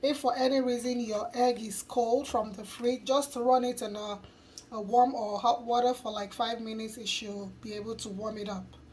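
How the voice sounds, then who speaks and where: A woman at a fairly high pitch and moderate pace, with fairly even intonation, big swings in loudness and noticeable background noise. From Nigeria. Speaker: cooking youtuber. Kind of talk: cooking tutorial.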